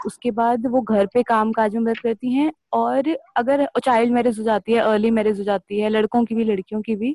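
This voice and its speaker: Her dark, mellow tone sits at a fairly high pitch, with fairly even intonation. The woman speaks at a moderate pace in a dry, close sound with no echo. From Delhi, India. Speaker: NGO worker, menstrual health campaigner. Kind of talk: personal story sharing.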